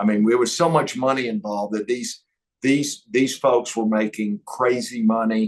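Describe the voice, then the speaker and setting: In an East Texas accent, a man speaks at a fairly slow pace and medium pitch. His intonation is monotone and flat. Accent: East Texas twang. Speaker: entrepreneur. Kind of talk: interview.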